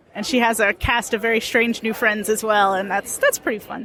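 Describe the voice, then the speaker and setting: Over crowd noise in the background, a woman with an American accent speaks at a fairly quick pace. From US South. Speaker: comics creator. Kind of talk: interview. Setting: convention floor.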